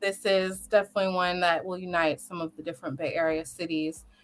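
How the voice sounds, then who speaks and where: A woman's bright, sharp tone at medium pitch and moderate pace. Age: young. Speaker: lawyer and local politician. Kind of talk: live talk show interview.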